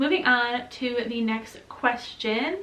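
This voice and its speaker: Noticeable background noise and audible room echo surround a woman with an American accent. Her fairly high voice shows ordinary pitch variation. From US Midwest, Michigan. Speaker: vlogger. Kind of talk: casual Q&A vlog. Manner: chatty, many fillers.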